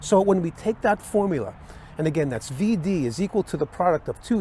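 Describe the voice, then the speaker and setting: The speaker is a man with a high-pitched voice. Background noise is clearly noticeable. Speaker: electrical instructor. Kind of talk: tutorial.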